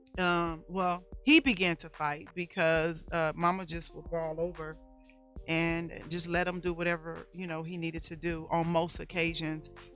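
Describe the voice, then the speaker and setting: With music in the background, a woman speaks fairly slowly at a fairly low pitch, her loudness swinging widely. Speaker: domestic violence survivor and speaker. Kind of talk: testimony. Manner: raises voice when excited.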